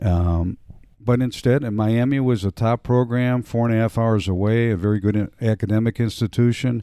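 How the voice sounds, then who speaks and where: A man with an American accent speaks at a moderate pace in a medium pitch, his tone dark and mellow. The sound is dry and close with no echo, in a very clean recording with a silent background. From Cleveland, Ohio, US Midwest. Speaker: former salesman, father of the host. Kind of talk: casual interview.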